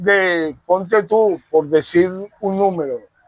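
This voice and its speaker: A man's voice rides high in pitch. Its variation stays ordinary. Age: 60s. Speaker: Afro-Venezuelan religious leader. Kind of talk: interview. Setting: outdoors in a park.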